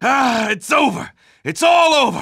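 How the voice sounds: Shouting in a raised, put-on character voice, a man speaks at an extremely high pitch and a fairly slow pace, with big pitch swings, a bright, sharp tone, a slightly husky edge and vocal fry. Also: very clean recording, silent background.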